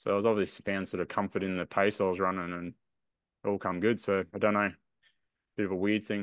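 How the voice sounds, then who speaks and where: A man with an Australian accent talks at a very fast pace yet with long, frequent pauses, his fairly low voice monotone and flat against a quiet background. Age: 40s. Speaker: podcast co-host, runner. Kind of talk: casual chat.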